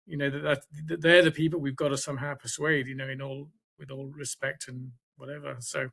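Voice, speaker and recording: With a British accent, this man's fairly high voice has a bright, sharp tone, fairly even intonation and big swings in loudness. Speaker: science writer. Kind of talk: seminar Q&A comment. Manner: halting.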